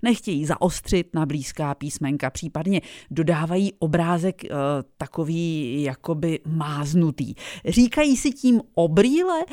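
A woman with an ordinary speaking voice, fairly low in pitch, at a fairly slow pace with lively intonation, in a dry, close sound with no echo and a very clean recording against a silent background. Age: 50s. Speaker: radio host. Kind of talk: radio interview.

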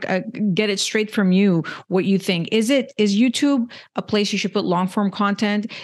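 A woman with a Canadian accent speaks at a moderate pace in a medium pitch. Her pitch varies in an ordinary way, and the background is quiet. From Canada. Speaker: podcast host. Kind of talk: interview. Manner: halting, with frequent repetitions.

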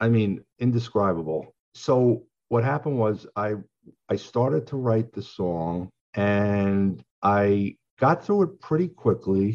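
Over a quiet background, a man with an American accent and a fairly low pitch speaks at a very slow pace with lively intonation. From Long Island, New York. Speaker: songwriter. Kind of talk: interview.

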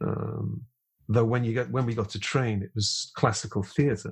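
The voice is husky, with a rough edge. It moves at a moderate pace. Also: man, medium pitch for a man, fairly even intonation.

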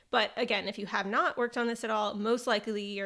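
A woman talks at a very fast pace with fairly even intonation. The recording is very clean with a silent background. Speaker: podcast host for dietitians. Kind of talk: solo scripted podcast episode. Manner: planned, read-from-notes delivery; casual with laughs and fillers.

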